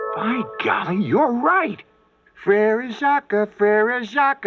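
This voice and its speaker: A cartoonish character voice talks at a very slow pace with a fairly high pitch. Faint music plays in the background. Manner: playful, giggly, jokey.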